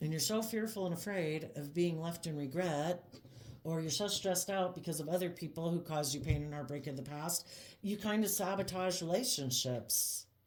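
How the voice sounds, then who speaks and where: A woman with a fairly low pitch speaks at a moderate pace with ordinary pitch variation in a plain, everyday voice. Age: 50s. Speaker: tarot reader. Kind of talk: tarot reading monologue. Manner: casual, conversational.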